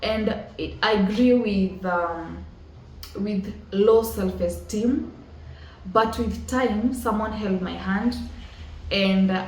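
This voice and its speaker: With a Kenyan accent, a woman speaks very slowly and pauses long and often, her voice carrying an audible room echo over noticeable background noise. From rural Kenya. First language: Kikuyu. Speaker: motivational podcast host. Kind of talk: motivational talk.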